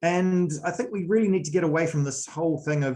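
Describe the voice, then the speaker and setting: A man with a New Zealand accent, somewhat breathy, at a moderate pace, with ordinary pitch variation. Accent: New Zealand accent, noticeable. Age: 40s. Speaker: sports coach. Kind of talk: presentation. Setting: video call.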